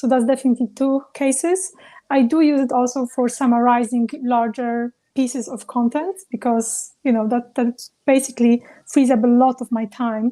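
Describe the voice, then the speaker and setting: Dry and close with no echo, a woman with a non-native accent speaks in a high pitch with a dark, mellow tone and fairly even intonation. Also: moderate pace. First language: not English. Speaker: travel business founder. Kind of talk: panel discussion.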